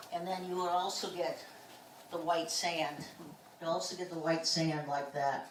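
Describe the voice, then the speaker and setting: With long, frequent pauses, a woman in a St. Louis accent speaks at a fairly low pitch with fairly even intonation, amid noticeable background noise and audible room echo. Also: moderate pace. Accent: Midwestern American (St. Louis). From US Midwest, St. Louis area, Missouri. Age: 60s. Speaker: geologist. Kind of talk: public talk. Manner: casual, conversational.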